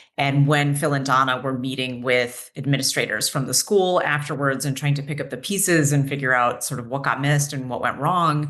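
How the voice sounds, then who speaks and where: A woman talks at a fairly quick pace with hardly any pauses, her pitch very deep and low. Audible room echo surrounds her voice. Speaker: mental health clinician and nonprofit program director. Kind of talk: educational webinar presentation. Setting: webinar.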